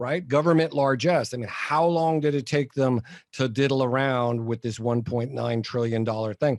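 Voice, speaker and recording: A man with an ordinary speaking voice at medium pitch and ordinary pitch variation. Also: moderate pace. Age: 60s. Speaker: entrepreneur and author. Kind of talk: casual chat.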